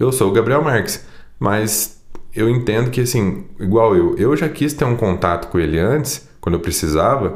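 Audible room echo surrounds a man speaking at a moderate pace. His medium-pitched voice has lively intonation and very even loudness. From Brazil, Poços de Caldas. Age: 20s. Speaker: sertanejo singer. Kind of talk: casual chat.

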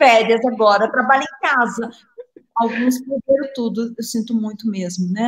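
A woman talks with ordinary pitch variation, keeping her delivery at a moderate pace. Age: 60s. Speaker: psychiatrist and meditation author. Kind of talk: live interview. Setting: live video stream.

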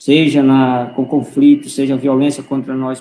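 A man's plain, everyday voice, fairly high in pitch, at a moderate pace. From Roraima, northern Brazil. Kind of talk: online panel discussion. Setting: online live stream.

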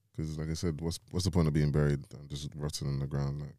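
A man with a London accent talks at a very fast pace, his very deep, low pitch carrying a dark, mellow tone and fairly even intonation. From London, England (Nigerian heritage). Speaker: podcast co-host. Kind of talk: casual chat.

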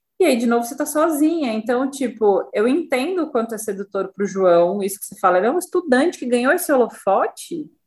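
A woman's very fast, high-pitched delivery with hardly any pauses, very wide pitch swings and big swings in loudness. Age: 40s. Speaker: psychoanalyst and podcast co-host. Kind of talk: casual chat.

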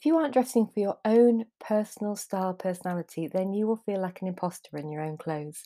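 A woman at medium pitch, very fast, with lively intonation, big swings in loudness and a dark, mellow tone, on a very clean recording with a silent background and a dry, close sound with no echo. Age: 50s. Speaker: style coach and podcast host. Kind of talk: solo podcast monologue. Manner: halting, with self-corrections.

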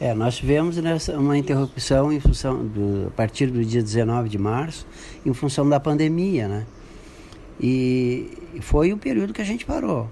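With a normal speaking voice, a man speaks at a fairly slow pace in a medium pitch. His intonation is lively. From Brazil, Santo Antônio da Patrulha, Rio Grande do Sul. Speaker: businessman. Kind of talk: radio interview.

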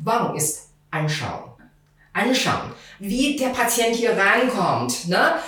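A woman with a Chinese accent speaks at a very slow pace in a fairly high voice, with lively intonation and long, frequent pauses, amid audible room echo and noticeable background noise. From China, Beijing. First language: Mandarin Chinese (speaking German). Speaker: TCM practitioner. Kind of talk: expert interview. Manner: halting.

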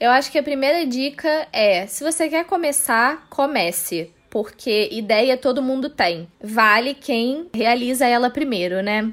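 In a very clean recording with a silent background, a woman talks at a fairly slow pace in a high pitch. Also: lively intonation, hardly any pauses. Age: 20s. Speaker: social media manager, film student. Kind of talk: casual chat.

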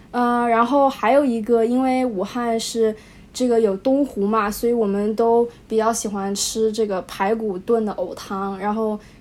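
Delivery is at a fairly slow pace, with fairly even intonation. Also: woman, fairly high pitch for a woman. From Wuhan, China. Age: young. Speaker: high school graduate. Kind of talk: casual interview. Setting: remote call. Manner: hesitant, many fillers.

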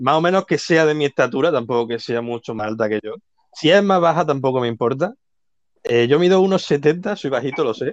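Lively intonation from a man, pitched fairly high. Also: dry, close sound with no echo. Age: 20s. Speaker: dating show contestant. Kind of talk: casual chat. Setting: online live audio room.

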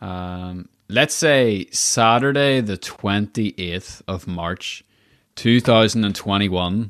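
A man speaking at a very slow pace in a fairly low voice with a Northern Irish accent, ordinary pitch variation and a quiet background. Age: 20s. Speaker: podcast host. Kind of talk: interview; scripted outro. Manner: animated.

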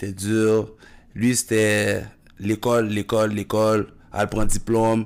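Very slow speech from a man, fairly low in pitch. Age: 30s. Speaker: basketball coach and former player. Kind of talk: casual chat.

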